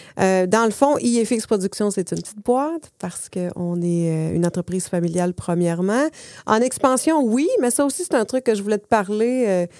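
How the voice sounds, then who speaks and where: In a very clean recording with a silent background, a woman speaks at a moderate pace with a dark, mellow tone, lively intonation and big swings in loudness. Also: medium pitch for a woman. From Saguenay-Lac-Saint-Jean, Quebec. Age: 40s. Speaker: entrepreneur. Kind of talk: casual interview.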